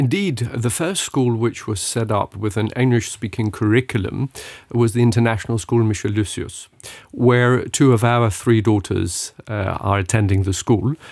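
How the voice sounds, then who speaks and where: A man talks at a moderate pace in an unremarkable speaking voice of medium pitch with ordinary pitch variation. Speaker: parents' association president. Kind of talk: radio interview.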